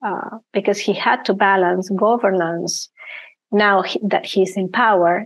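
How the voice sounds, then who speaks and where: A woman's medium-pitched voice at a very slow pace over a quiet background. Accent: Argentine. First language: Spanish. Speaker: risk management and ethics consultant. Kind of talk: interview. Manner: hesitant, many fillers.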